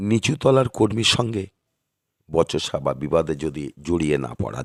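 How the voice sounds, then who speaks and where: A man's voice with vocal fry comes through in a dry, close sound with no echo. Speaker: astrologer. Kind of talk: monthly horoscope talk to camera. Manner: halting, short phrases.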